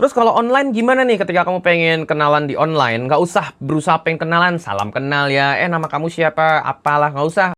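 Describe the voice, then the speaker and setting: Shrill and animated, a man talks at a very fast pace with hardly any pauses, his fairly high pitch carrying a bright, sharp tone. His intonation is lively. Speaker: dating coach. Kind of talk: online course preview.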